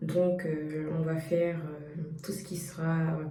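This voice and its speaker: A woman with a Central African accent speaks at a fairly low pitch in a monotone, flat intonation. Noticeable background noise and audible room echo surround her voice. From Cameroon. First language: Bangu (speaking French). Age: young. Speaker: YouTuber, data science student. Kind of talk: personal vlog. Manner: hesitant, many fillers.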